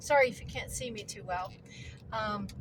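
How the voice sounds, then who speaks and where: With noticeable background noise and audible room echo, a woman speaks at a fairly slow pace. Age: 60s. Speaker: homesteading vlogger. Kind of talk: casual vlog monologue. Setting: in a car.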